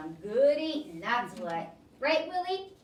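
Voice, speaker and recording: A put-on character voice swings very widely in pitch at a fairly slow pace. There is a slight echo. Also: woman. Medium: read story. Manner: easygoing, folksy.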